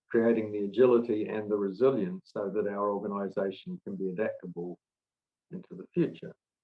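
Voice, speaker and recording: Talking at a fairly quick pace, a man with an ordinary speaking voice and a fairly low pitch shows ordinary pitch variation and big swings in loudness. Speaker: management consultant and author. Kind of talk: webinar presentation. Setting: online webinar.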